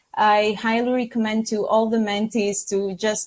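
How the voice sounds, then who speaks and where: Speaking in a Greek accent, a woman holds a monotone, flat intonation at a fairly high pitch and fairly slow pace, on a very clean recording with a silent background. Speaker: pharmacy student mentee. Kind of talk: podcast interview. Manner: halting.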